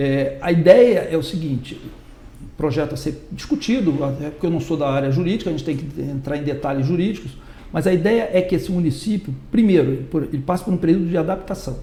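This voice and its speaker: A man speaks at a fairly quick pace with a fairly high pitch and ordinary pitch variation, and audible room echo surrounds his voice. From Brazil, Rio de Janeiro. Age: 60s. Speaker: political candidate. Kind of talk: interview.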